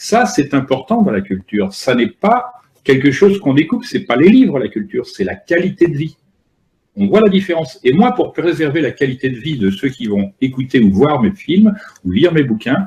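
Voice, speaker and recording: A man with a fairly high pitch and vocal fry talks at a moderate pace, his pitch swinging very widely. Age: 60s. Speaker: author and filmmaker. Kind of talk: lecture.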